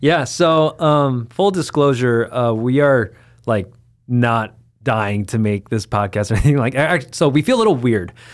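A man with an American accent and medium pitch, in a very clean recording with a silent background. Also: lively intonation, moderate pace. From US West Coast (Los Angeles, Rowland Heights). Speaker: podcast co-host and church leader. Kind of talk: casual chat.

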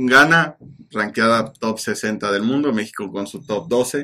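Speaking in a Mexican accent, a man has a medium pitch and ordinary pitch variation. His tone is bright and sharp, and his pace is fairly slow. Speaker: football podcast co-host. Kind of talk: casual chat.

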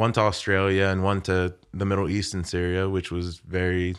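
A man's very deep, low voice in an American accent, monotone and flat, against a quiet background. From Haiti, then Florida and Maryland. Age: 20s. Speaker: podcast guest. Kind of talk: casual chat.

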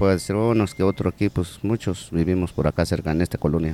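A man speaks at a very deep, low pitch in a dark, mellow tone. His intonation stays fairly even. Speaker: corner shop owner and basketball coach. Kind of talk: interview. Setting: in his shop.

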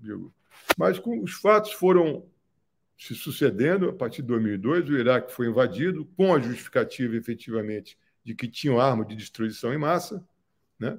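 Pitch swings very widely as a man talks. His pace is fairly slow. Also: very clean recording, silent background. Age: 70s. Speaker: filmmaker. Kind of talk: interview. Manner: halting.

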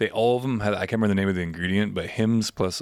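On a very clean recording with a silent background, a man talks in an unremarkable speaking voice, fairly low in pitch, with fairly even intonation. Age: 30s. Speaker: podcast co-host. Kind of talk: casual chat. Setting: studio.

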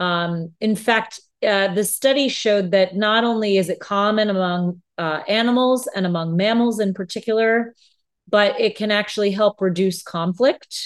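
A woman at medium pitch with a normal speaking voice, a moderate pace and fairly even intonation against a quiet background. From United States. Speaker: podcast co-host. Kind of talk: casual chat.

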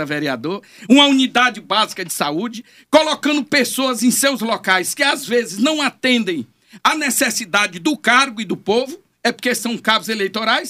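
A raised, projected voice with an animated, bright and sharp tone carries lively intonation. It moves at a moderate pace. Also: man. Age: 60s. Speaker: politician. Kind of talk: interview. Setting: studio.

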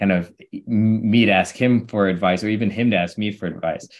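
Using a normal speaking voice, a man with an American accent speaks at a moderate pace with a fairly low pitch and fairly even intonation. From US Midwest (St. Louis, Missouri). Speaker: venture capital investor and founder. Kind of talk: podcast interview. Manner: casual, many fillers.

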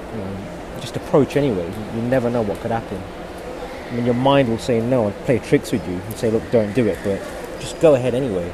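A man's medium-pitched voice with a British accent, very fast but broken by long, frequent pauses, with ordinary pitch variation, audible room echo and noticeable background noise. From UK. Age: 30s. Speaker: podcast host. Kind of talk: solo monologue. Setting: airport.

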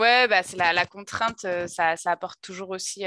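A bright, sharp-toned woman at medium pitch and a fairly quick pace, with a dry, close sound and no echo. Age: 30s. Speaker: podcast host. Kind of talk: casual interview chat.

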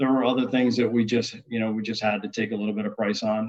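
A man with a fairly low pitch and an American accent rattles along at a very fast pace. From US Northeast, upstate New York. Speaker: restaurant chain culinary executive. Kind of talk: interview. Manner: halting, many fillers.

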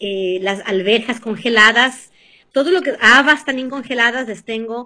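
Very slow and lively in intonation, a woman's fairly high voice has a bright, sharp tone. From Ecuador, Venezuela and the US. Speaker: cooking and nutrition guest. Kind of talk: casual interview chat with cooking tips.

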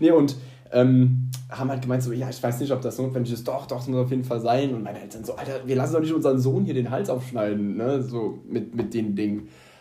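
Music plays in the background and the room echo is audible as a man talks fairly quickly at a medium pitch with fairly even intonation. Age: 20s. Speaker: podcast co-host, nurse. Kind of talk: casual chat.

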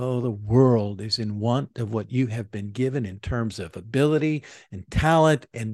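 A plain, everyday voice talks at a moderate pace with ordinary pitch variation, the sound dry and close with no echo against a quiet background. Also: man. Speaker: church leader podcast host. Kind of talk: commencement speech read as a scripted address to graduates. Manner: formal, earnest, rhetorical, with rising and repeated 'commence' exhortations; measured, warm, inspirational.

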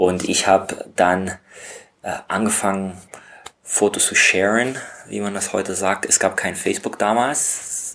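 Speaking at a fairly slow pace with long, frequent pauses, a man keeps a fairly low pitch and fairly even intonation. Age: 30s. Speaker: stock photographer. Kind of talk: interview. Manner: hesitant, with filler sounds.

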